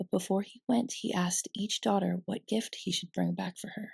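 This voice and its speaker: Soft-spoken and soothing, a woman speaks in a dark, mellow tone with vocal fry and fairly even intonation, the sound dry and close with no echo. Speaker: ASMR storyteller and host. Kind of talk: ASMR bedtime story reading. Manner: soft-spoken, soothing.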